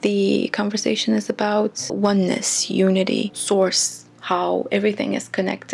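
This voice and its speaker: Music can be heard behind the speaker. The delivery is fairly slow in pace. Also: woman. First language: not English. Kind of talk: reflective talk to camera. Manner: slow-paced.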